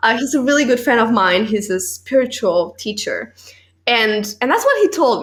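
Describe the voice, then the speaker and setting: The speaker's pitch swings very widely, with a non-native accent. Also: woman. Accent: foreign. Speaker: podcast host and actress. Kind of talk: casual interview chat.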